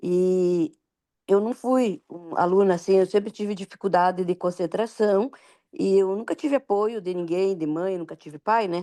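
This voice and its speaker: A woman with a dark, mellow tone and a medium pitch speaks at a moderate pace with ordinary pitch variation and big swings in loudness, in a dry, close sound with no echo. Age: 60s. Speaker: student. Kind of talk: casual question in online class.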